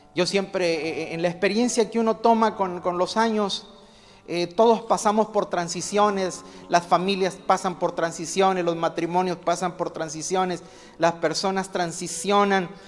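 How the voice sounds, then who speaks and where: With clearly audible background noise behind it, the speech moves rather slowly. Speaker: pastor. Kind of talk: sermon.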